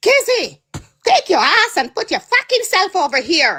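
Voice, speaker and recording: Pitch swings very widely in this put-on character voice, which keeps a moderate pace. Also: woman, extremely high pitch for a woman. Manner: aggressive, harsh.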